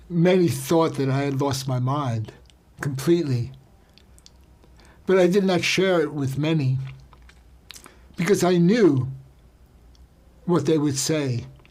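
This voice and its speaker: A man's fairly high voice with ordinary pitch variation, long, frequent pauses and audible room echo. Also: fairly slow pace. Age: 70s. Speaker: health and wellness speaker. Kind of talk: personal testimony. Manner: intimate.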